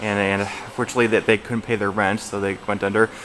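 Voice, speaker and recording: A man talks in a monotone with flat intonation. Noticeable background noise runs beneath his voice. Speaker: mall vlogger. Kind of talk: casual vlog narration. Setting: indoors in a mall.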